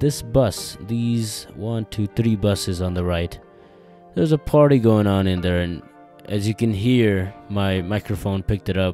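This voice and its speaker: A man speaks at a fairly low pitch in a dry sound with no echo, with faint music in the background. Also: ordinary pitch variation, fairly slow pace. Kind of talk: casual vlog chat. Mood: amused, wry. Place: car. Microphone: phone near.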